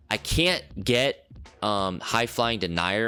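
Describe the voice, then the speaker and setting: A man's fairly low-pitched voice over music in the background. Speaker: gaming YouTuber. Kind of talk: gameplay tutorial. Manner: fast, with fillers.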